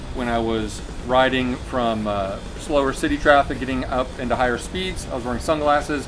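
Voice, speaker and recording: A man's fairly even intonation and moderate pace come through over noticeable background noise. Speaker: motorcycle gear reviewer. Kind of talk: product review talk. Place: garden. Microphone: camera far.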